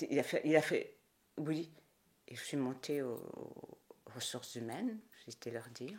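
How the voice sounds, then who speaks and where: A woman talks at a fairly slow pace with a very deep, low pitch and long, frequent pauses. Her intonation is lively and her loudness swings widely. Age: 60s. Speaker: Burundian diaspora member, theatre enthusiast. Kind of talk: interview.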